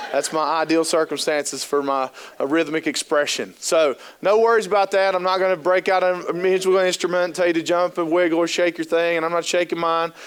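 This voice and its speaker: At a very fast pace, a man with a high pitch and a slight Appalachian Ohio accent talks in an animated tone. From US Appalachia, southern Ohio. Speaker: trainer and keynote speaker. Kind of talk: conference training talk. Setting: stage with audience.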